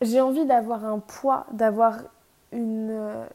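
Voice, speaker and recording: A woman's fairly high voice, calm in tone, with a dark, mellow quality. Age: 20s. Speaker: podcaster. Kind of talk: casual monologue. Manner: unscripted, hesitant.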